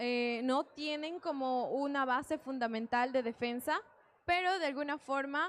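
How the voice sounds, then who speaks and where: Speaking at a fairly slow pace, a woman uses a high pitch with ordinary pitch variation. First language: Quechua (speaking Spanish). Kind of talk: panel discussion. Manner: hesitant, with fillers.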